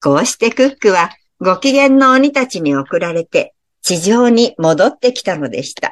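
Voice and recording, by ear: With lively intonation and a quiet background, someone reads aloud in a natural voice.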